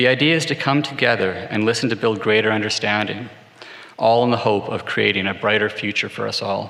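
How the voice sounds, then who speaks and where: Speaking at a fairly quick pace, a man with a Canadian accent has a fairly low pitch. Audible room echo and noticeable background noise fill the recording. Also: ordinary pitch variation. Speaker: corporate executive. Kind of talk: formal speech. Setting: stage with audience.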